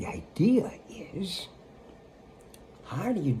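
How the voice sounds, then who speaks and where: A man with an American accent speaks at a very slow pace, with very wide pitch swings. Audible room echo surrounds the voice. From United States. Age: 80s+. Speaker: spiritual teacher. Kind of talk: spiritual talk. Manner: casual, conversational.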